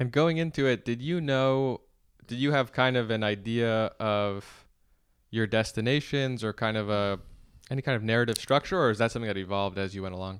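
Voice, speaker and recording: A man with a plain, everyday voice and medium pitch talks at a fairly quick pace with ordinary pitch variation against a quiet background. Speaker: podcast host.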